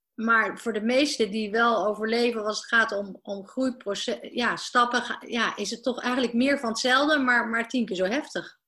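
With hardly any pauses, a woman speaks at a moderate pace in a bright, sharp tone, her fairly high pitch held to fairly even intonation. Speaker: business coach. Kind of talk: interview. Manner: halting.

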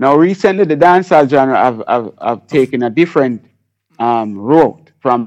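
Against a quiet background, a man with a Jamaican accent talks at a fairly slow pace, his medium pitch carried by lively intonation. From Jamaica, Kingston. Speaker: reggae and dancehall artist and producer. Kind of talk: radio interview.

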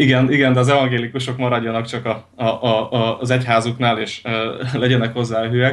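Monotone, flat delivery from a man, medium in pitch and fairly quick in pace. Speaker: Lutheran pastor. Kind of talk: radio interview. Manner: halting, many repetitions and fillers.

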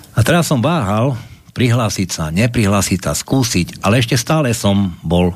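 Fairly low-pitched man at a moderate pace, very wide pitch swings, noticeable background noise. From Košice, eastern Slovakia. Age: 50s. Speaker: security manager, political movement member. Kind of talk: political talk show discussion.

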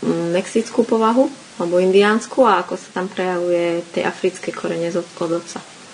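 Noticeable background noise sits behind a woman's voice. She speaks at a medium pitch with fairly even intonation. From Slovakia. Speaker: podcast host. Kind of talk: interview. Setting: school in Sweden.

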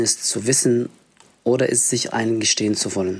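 This man talks at a moderate pace, his medium-pitched voice showing ordinary pitch variation. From Egypt. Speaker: refugee social worker and activist. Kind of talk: reading an essay aloud.

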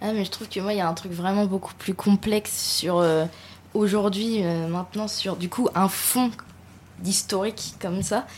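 At a fairly slow pace, a woman talks in a medium pitch, somewhat breathy, with fairly even intonation. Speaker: radio panelist. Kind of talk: casual discussion.

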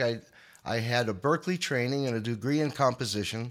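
Speaking in an American accent at medium pitch, a man keeps a moderate pace with ordinary pitch variation in a very clean recording with a silent background. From New York, Long Island. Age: 60s. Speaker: guitarist. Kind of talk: interview storytelling. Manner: halting.

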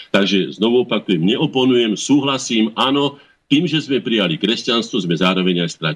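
A man with an ordinary speaking voice, medium in pitch, with lively intonation at a moderate pace. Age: 60s. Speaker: head of a cultural association. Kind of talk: interview. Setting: phone call.

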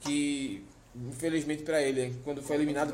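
Noticeable background noise and audible room echo surround the speech. The pace is fairly quick, and the intonation is fairly even. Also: man. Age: 20s. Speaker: podcast host. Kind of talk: casual chat. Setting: on location in Fortaleza.

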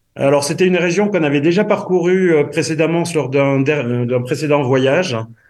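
With a southwestern French accent, a man with a fairly high pitch talks at a moderate pace with hardly any pauses, ordinary pitch variation, and very even loudness. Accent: southwestern French, noticeable. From southwest France. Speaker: association member, guest. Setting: phone call, remote.

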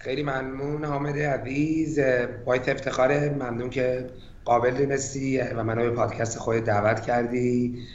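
Speaking at a moderate pace in a flat, monotone way, a man with a medium-pitched voice is heard over noticeable background noise and audible room echo. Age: 40s. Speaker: tech strategy executive. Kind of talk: interview.

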